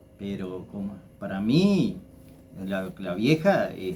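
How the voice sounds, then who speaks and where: A man speaks at a fairly low pitch with ordinary pitch variation. Room echo is audible. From Argentina, Entre Ríos (Federación). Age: 60s. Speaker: local personality, former builder. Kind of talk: interview, life story recollection. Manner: halting, many repetitions.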